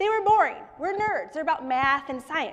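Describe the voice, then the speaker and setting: A woman speaks with very wide swings in pitch. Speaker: startup founder and children's book author. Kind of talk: pitch presentation. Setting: stage with live audience. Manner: fast.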